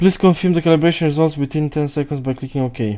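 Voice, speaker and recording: A man's dark, mellow tone at a fairly quick pace, with a non-native accent. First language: not English. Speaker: tech reviewer. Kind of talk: unboxing and setup walkthrough. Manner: halting, thinking aloud.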